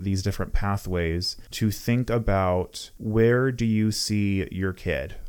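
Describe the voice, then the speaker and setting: A man with a fairly low voice talks in a calm tone with fairly even intonation, in a very clean recording with a silent background. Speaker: podcast host. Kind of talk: solo educational book discussion. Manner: calm, regulated.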